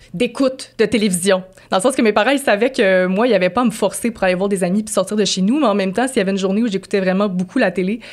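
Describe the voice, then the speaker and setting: Speaking at a very fast pace, a woman holds a medium pitch. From Quebec City, Quebec. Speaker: podcast co-host. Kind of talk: casual chat.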